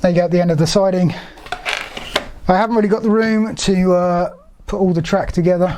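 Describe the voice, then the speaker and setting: Amid noticeable background noise and audible room echo, a woman speaks fairly quickly at a medium pitch with ordinary pitch variation. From England. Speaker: LEGO YouTuber. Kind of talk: live stream build commentary. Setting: live stream at home. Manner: casual, halting with fillers.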